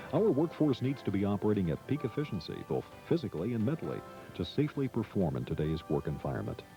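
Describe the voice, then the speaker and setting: Music plays in the background while a man with an American accent talks at a very fast pace. His fairly low voice has very wide pitch swings. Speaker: voice-over artist. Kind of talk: corporate training narration.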